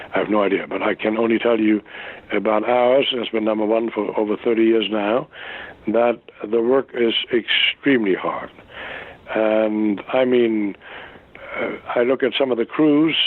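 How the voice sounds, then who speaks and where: Pausing long and often, a man speaks at medium pitch and a moderate pace with fairly even intonation over noticeable background noise. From Germany. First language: German. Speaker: actor. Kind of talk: interview answer. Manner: passionate.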